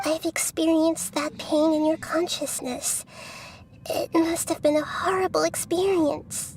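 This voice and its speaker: A put-on character voice, female-sounding and extremely high-pitched for a woman, at a moderate pace amid clear background noise. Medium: video game. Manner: earnest, emotional.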